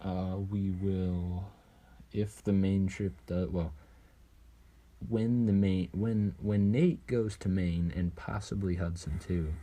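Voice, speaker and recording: At a very slow pace, a man speaks with a very deep, low pitch, a dark, mellow tone and fairly even intonation. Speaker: podcast co-host. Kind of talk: casual chat. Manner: monotone.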